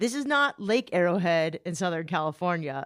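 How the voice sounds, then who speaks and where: This woman has a plain, everyday voice, pitched fairly low. She talks at a fairly quick pace in a very clean recording with a silent background. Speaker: podcast host. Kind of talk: podcast narration.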